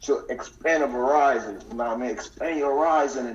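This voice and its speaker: An American accent comes through. The delivery moves fairly quickly. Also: man. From US Northeast (New York/New Jersey tri-state). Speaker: deportee, businessman. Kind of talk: casual chat. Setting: phone call.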